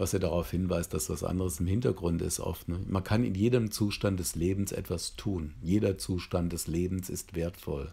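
A man speaks at a moderate pace with hardly any pauses, his pitch very deep and low. His somewhat breathy voice has ordinary pitch variation. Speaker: psychotherapy trainer. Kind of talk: lecture. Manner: hesitant with filler sounds.

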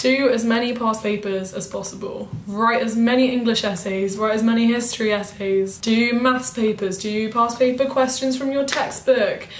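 Moderate pace and fairly even intonation, with noticeable background noise and audible room echo. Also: woman. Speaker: student vlogger. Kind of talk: casual chat.

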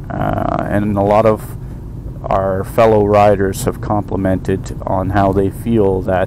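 Over noticeable background noise, a man talks at a very slow pace and a fairly low pitch. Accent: Canadian. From Canada, eastern Ontario. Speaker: motorcycle vlogger. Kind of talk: casual monologue. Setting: in a car. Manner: hesitant, many fillers.

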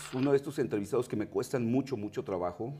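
The speaker is a man. He has a Mexican accent. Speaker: TV interviewer. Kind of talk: TV interview. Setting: studio. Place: studio.

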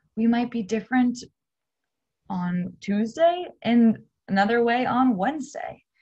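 A somewhat breathy woman speaks at a fairly slow pace with ordinary pitch variation. The background is quiet. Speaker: teacher. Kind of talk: lesson to students. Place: home room. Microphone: webcam.

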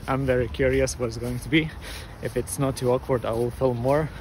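A man speaks at a moderate pace in a dry sound with no echo, with noticeable background noise behind him. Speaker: vlogger training for a triathlon. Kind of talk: casual vlog chat. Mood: relaxed, curious. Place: street. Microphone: phone near.

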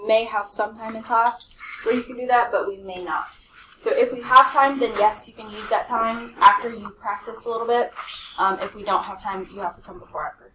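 A woman talks fairly quickly with ordinary pitch variation against noticeable background noise. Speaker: math teacher. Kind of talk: classroom announcements to students. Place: classroom.

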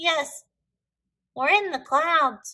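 Using a put-on character voice, a woman speaks very slowly in a high, bright and sharp tone with ordinary pitch variation.

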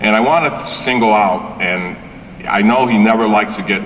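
Light background noise sits under a man talking at a moderate pace. He has a normal speaking voice, fairly low in pitch. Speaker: college trustee, board vice chair. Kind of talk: ceremony speech. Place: hall. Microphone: podium.

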